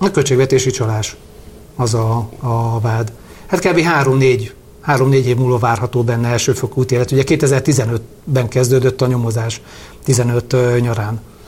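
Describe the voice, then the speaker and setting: A man at a medium pitch, speaking fairly slowly with fairly even intonation. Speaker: lawyer and parliamentary candidate. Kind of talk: interview. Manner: halting.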